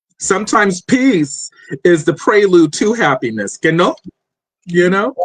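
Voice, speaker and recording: Loud and high-pitched, a man talks at a fairly slow pace with very wide pitch swings in a dry, close sound with no echo. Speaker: podcast host. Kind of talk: interview. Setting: live stream.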